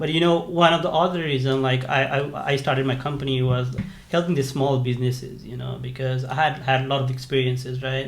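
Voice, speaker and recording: Amid noticeable background noise and audible room echo, a man speaks at a fairly quick pace. His pitch is medium and his intonation fairly even. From Nepal. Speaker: software engineer and startup founder. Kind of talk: interview. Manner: halting, many fillers and restarts.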